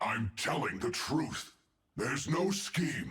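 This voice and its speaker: A man's put-on character voice, growling and fairly high in pitch, at a fairly slow pace. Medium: video game. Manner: evasive, defensive.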